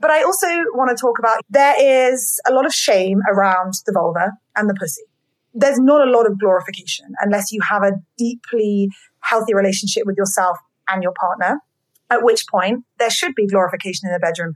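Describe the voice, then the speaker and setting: A woman speaks at medium pitch with a British accent. Her tone is animated and her pace fairly quick. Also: ordinary pitch variation. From Britain. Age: 30s. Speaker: podcast host. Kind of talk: casual interview chat.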